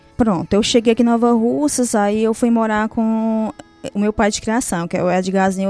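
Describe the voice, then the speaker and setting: A woman's dark, mellow tone at a fairly quick pace. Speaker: churchgoer sharing conversion story. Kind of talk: testimony. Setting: radio studio.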